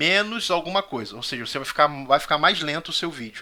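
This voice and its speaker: Bright, sharp tone from a man with a fairly high pitch and lively intonation. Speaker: Sunday school Bible teacher. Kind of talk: Bible study lecture. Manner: fast.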